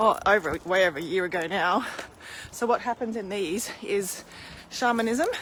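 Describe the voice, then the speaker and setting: Over noticeable background noise, a woman speaks at a fairly high pitch and moderate pace with ordinary pitch variation. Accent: Australian. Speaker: spiritual healer. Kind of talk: casual live stream chat. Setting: live video stream. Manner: animated; loud.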